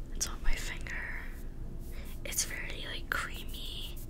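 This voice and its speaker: A soft-spoken woman whispering at a fairly slow pace, with noticeable background noise. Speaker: beauty ASMR creator. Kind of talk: soft-spoken makeup chat. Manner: soft close-mic ASMR whisper. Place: home room. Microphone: studio mic.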